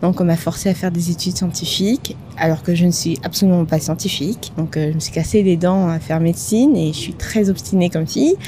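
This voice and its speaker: A woman's fairly low voice at a fairly quick pace, hardly any pauses, and noticeable background noise. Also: ordinary pitch variation. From Madagascar. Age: 30s. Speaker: podcast co-founder. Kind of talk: interview conversation.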